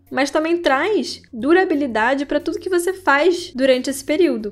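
Music plays in the background as a woman speaks at a high pitch and a moderate pace. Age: 20s. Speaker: podcast host, writer and astrologer. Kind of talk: casual scripted podcast monologue.

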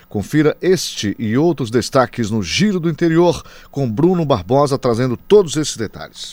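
At a moderate pace, a man talks with lively intonation and fairly high pitch. His is a plain, everyday voice. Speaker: news anchor. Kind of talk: radio news presentation.

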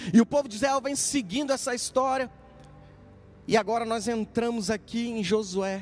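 Amid noticeable background noise, a man with an extremely high pitch and ordinary pitch variation talks at a moderate pace, leaving long, frequent pauses. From Minas Gerais interior, Brazil. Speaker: pastor. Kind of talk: prayer; sermon.

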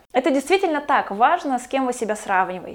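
A woman is speaking. The background is quiet. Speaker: video blogger. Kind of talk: vlog monologue.

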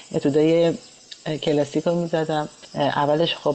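Against noticeable background noise, a woman with a very deep, low pitch talks at a fairly slow pace. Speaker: pianist. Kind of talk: interview.

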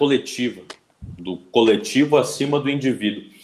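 A man speaks in a normal speaking voice. His pitch sits in the medium range. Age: 20s. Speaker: YouTube channel host and economics student. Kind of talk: casual live-stream interview. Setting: online live stream.

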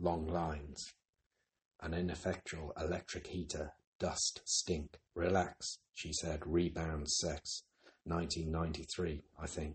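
Very deep and low, a man's somewhat breathy voice moves at a very slow pace with monotone, flat intonation and long, frequent pauses. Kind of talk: poem reading.

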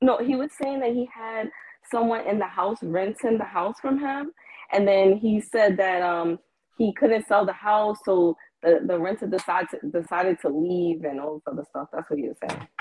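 A woman speaks in a normal speaking voice at medium pitch, with lively intonation and a moderate pace. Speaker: caller. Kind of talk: casual chat. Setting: phone call.

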